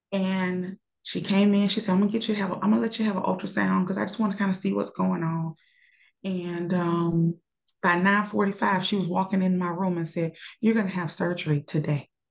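With an unremarkable speaking voice, a woman talks fairly quickly at medium pitch, keeping her intonation fairly even. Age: 40s. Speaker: nurse. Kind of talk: casual chat.

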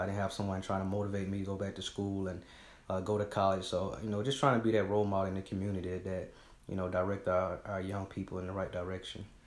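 With an American accent, a man with a fairly low pitch talks at a very fast pace in a monotone, flat intonation, with audible room echo. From Georgia, US South (Griffin). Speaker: nonprofit founder. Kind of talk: interview.

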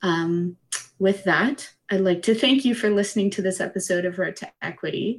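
Using a plain, everyday voice, a woman with a Canadian accent talks at a moderate pace and medium pitch with ordinary pitch variation. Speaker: student podcast host. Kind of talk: interview; scripted outro.

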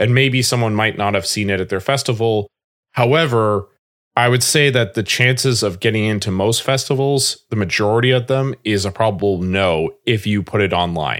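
In a plain, everyday voice, a man with a fairly low pitch talks at a moderate pace with ordinary pitch variation and very even loudness on a very clean recording with a silent background. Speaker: filmmaker. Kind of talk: casual interview chat.

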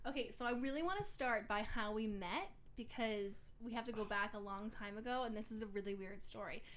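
A woman speaks in a fairly high voice with a New York accent and an animated tone. She barely pauses at all. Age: 20s. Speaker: podcast co-host. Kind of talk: casual chat.

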